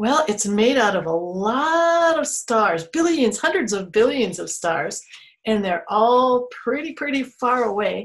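The speaker's pitch swings very widely at a fairly slow pace. The background is quiet. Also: woman. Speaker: museum storyteller educator. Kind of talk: children's storytime explanation. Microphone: webcam.

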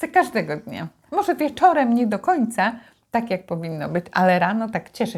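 Somewhat breathy, a woman speaks at a fairly high pitch with very wide pitch swings. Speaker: mother co-hosting a video series. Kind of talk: casual chat.

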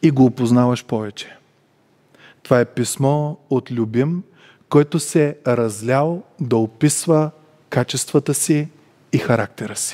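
Over a quiet background, a man talks at a fairly slow pace in a dark, mellow tone with ordinary pitch variation. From Bulgaria. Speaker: preacher. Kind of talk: sermon. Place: church. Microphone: headset.

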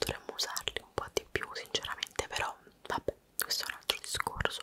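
A woman is whispering in an intense tone. Her pace is moderate. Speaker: vlogger. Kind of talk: casual vlog chat showing belongings. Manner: intense close-mic whisper. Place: home room. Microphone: studio mic.

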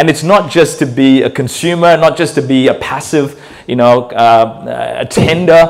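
His pitch shifts in an ordinary way. The man goes at a moderate pace. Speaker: guest pastor. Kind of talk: sermon. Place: church. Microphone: handheld.

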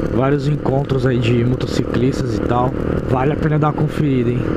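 A man speaks against loud background noise. His voice sounds dry, with no echo. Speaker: motovlogger. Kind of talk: casual vlog chat. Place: motorbike.

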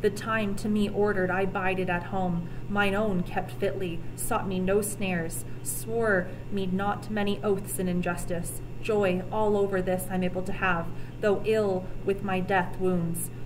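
Speaking at a fairly slow pace with very even loudness, a woman is heard over noticeable background noise. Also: medium pitch for a woman, ordinary pitch variation. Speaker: teacher reading aloud. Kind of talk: reading aloud archaic epic poetry, audiobook-style with teacher asides. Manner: measured, formal, slightly halting with self-corrections on archaic words; explanatory, casual in asides. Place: classroom. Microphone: webcam.

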